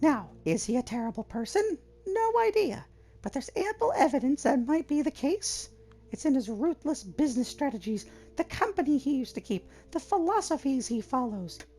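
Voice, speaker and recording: A put-on character voice, pitched high. The pitch swings very widely. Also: moderate pace. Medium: game stream. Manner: argumentative, opinionated.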